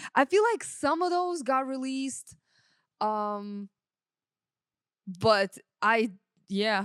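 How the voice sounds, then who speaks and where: Very slowly and with long, frequent pauses, a woman of fairly high pitch speaks in a dry, close sound with no echo. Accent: Russian. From Russia. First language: Russian. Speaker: sound engineer. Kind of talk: casual chat.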